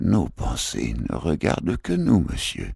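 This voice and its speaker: Raspy and very deep, a man's put-on character voice sits very low in pitch. The pace is fairly slow. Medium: read story. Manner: formal and pompous.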